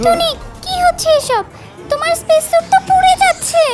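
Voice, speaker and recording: An extremely high, squeaky put-on character voice with very wide pitch swings plays against faint music in the background. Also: moderate pace. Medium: fan dub.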